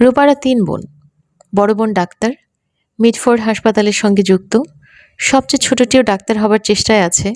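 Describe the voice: This is plain reading aloud. The background stays quiet.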